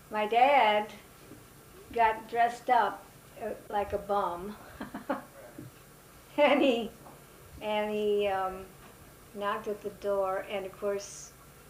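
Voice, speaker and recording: A woman with a fairly high pitch and fairly even intonation, speaking at a very slow pace with long, frequent pauses over noticeable background noise. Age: 80s+. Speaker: family matriarch, mother of eight. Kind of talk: interview answer. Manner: hesitant, reminiscing.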